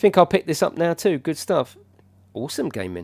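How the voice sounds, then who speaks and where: A man with a British accent, in a very clean recording against a silent background. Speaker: gaming streamer. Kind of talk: live gameplay commentary. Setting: livestream. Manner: casual, chatty.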